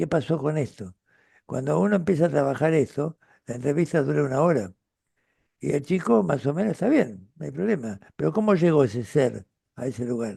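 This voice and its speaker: A man with an Argentine accent speaks in a dark, mellow tone with vocal fry and very wide pitch swings. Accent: Rioplatense Argentine Spanish. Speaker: retired pediatrician and author. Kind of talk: interview conversation. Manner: halting with fillers.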